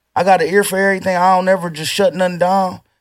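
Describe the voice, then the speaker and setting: A man talks at a very fast pace with an American accent. His pitch is high. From Toledo, Ohio, US Midwest. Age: 30s. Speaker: rapper. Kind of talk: casual chat.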